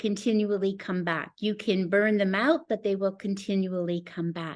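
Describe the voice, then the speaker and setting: A woman's medium-pitched voice at a fairly slow pace, in a very clean recording with a silent background. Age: 60s. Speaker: pastor and network marketing presenter. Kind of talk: sales pitch. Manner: animated.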